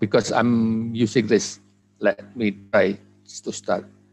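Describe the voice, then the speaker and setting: A very slow pace with a fairly even intonation, an Indonesian accent, and music in the background. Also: man. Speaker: conference speaker on language teaching technology. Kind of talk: academic presentation.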